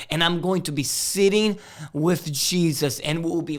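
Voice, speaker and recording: With a Portuguese accent, a man talks with ordinary pitch variation, and audible room echo surrounds his voice. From Brazil, Rio de Janeiro. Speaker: missionary. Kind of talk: sermon.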